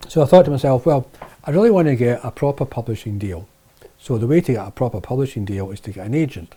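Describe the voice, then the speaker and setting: A man with a medium pitch and a dark, mellow tone rushes along at a very fast pace. His intonation is lively, and his loudness swings widely. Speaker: video producer and author. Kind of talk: casual vlog monologue. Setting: office shed. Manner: hesitant with fillers.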